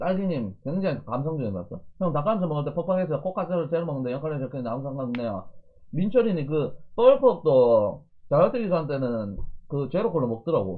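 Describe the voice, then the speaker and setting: The pace is fairly quick. Pitch swings very widely throughout. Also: man, fairly high pitch for a man. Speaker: fitness streamer doing eating broadcasts. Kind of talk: casual livestream chat while eating. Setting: live internet stream.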